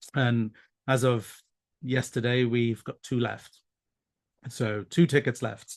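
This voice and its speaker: Speaking at a very slow pace with long, frequent pauses, a man with a Welsh accent keeps a medium pitch and fairly even intonation. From South Wales. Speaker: pride committee organizer. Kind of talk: interview. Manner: hesitant, many fillers.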